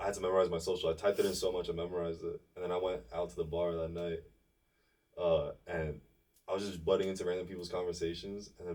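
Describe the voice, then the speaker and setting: This man speaks at a very fast pace. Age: 20s. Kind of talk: casual chat. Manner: animated.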